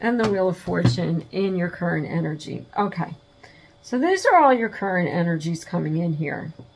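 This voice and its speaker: At a moderate pace, a woman with a fairly low pitch speaks with ordinary pitch variation amid noticeable background noise. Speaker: tarot reader. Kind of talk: tarot reading. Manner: casual, halting with fillers.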